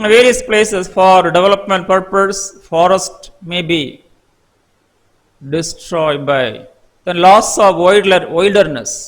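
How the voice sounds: A man speaks slowly at a high pitch with ordinary pitch variation. His tone is fairly bright.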